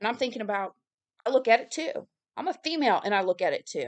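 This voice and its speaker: A woman with a high voice talks at a very fast pace, with a dry, close sound and no echo. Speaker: religious video creator and author. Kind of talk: casual monologue. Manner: halting.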